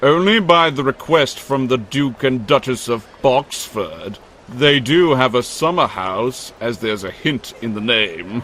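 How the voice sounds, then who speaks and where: In a put-on character voice, the delivery moves at a fairly slow pace with hardly any pauses. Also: man, medium pitch for a man. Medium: machinima. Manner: posh and pompous.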